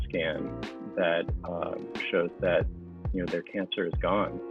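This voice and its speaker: A man talks at a fairly slow pace with a very deep, low pitch. He has a General American accent, and music plays in the background. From US East Coast. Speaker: oncologist and hematologist. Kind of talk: interview answer. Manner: hesitant, many fillers.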